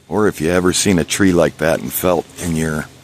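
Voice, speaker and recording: A man talks at a fairly slow pace in a very deep, low voice. Noticeable background noise runs underneath. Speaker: bigfoot investigator vlogger. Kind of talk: solo outdoor vlog narration. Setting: outdoors, hiking in woods. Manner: quiet, hushed.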